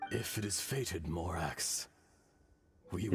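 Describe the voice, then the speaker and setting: In a put-on character voice, a man talks raspy and very deep at a fairly slow pace over faint background music. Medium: game stream. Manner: formal, grave, archaic.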